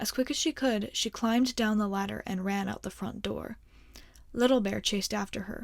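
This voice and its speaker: Here is a normal speaking voice from a woman at medium pitch. She keeps a moderate pace and ordinary pitch variation. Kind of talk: ASMR bedtime story reading. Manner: soft, calm, soothing.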